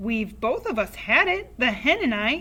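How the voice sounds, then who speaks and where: A woman puts on a character voice with a fairly high pitch and very wide pitch swings, shouting and cackling at a moderate pace. Light background noise sits behind her. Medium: read story. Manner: cackling, shouting.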